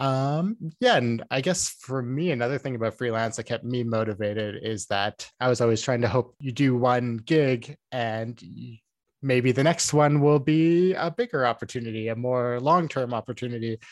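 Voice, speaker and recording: In a Canadian Prairie accent, the speaker goes at a moderate pace with ordinary pitch variation, recorded in a dry, close sound with no echo. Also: man, medium pitch for a man. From small-town Saskatchewan, Canada. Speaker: video game sound designer. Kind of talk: casual interview. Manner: many fillers (um, like).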